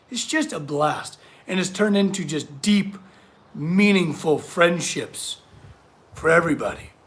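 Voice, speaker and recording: Speaking at a fairly slow pace, a man uses a high voice and lively intonation. Long, frequent pauses break up his speech. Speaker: blacksmith artist hosting a livestream chat. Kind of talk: casual livestream chat reading viewer comments. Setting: in the workshop.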